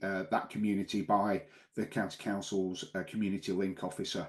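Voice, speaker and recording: Speaking at a fairly quick pace in a northern English accent, a man with a fairly low pitch is heard over a quiet background. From northern England. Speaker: local councillor and podcast co-host. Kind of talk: casual chat.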